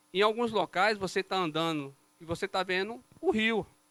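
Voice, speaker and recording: A man's raised, projected voice, high in pitch and bright, sharp in tone, with a northeastern Brazilian accent, ordinary pitch variation and a dry, close sound with no echo. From Brazilian Northeast. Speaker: civil engineer presenting a road project. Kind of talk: technical presentation to city councillors. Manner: explanatory, conversational.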